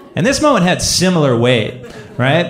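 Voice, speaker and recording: A man talks at a moderate pace while noticeable background noise carries on around him. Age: 30s. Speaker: storyteller. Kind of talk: personal storytelling.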